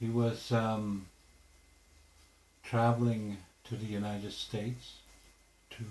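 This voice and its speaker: A man speaks very slowly at a medium pitch, somewhat breathy, with a monotone, flat intonation. Long, frequent pauses break up his speech, and the room echo is audible. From Canada, Alberta (Piikani reserve). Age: 50s. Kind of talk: interview. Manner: hesitant, many fillers.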